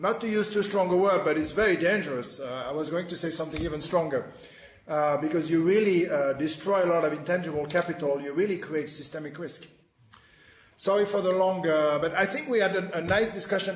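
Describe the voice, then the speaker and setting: Heard with audible room echo and noticeable background noise, a man with a French accent speaks at a high pitch with ordinary pitch variation. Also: fairly quick pace. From France. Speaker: webinar moderator, financial reporting specialist. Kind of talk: panel discussion. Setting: webinar video conference. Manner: halting, many fillers.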